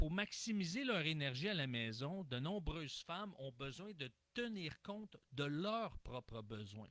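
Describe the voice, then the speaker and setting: A man speaks at a fairly slow pace in a fairly high voice. His pitch swings very widely. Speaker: relationship coach. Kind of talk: online talk on gender leadership. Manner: animated.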